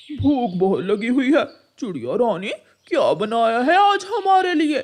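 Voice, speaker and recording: This is a cartoonish character voice pitched high. It moves at a fairly slow pace with very wide pitch swings. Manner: jolly, loud.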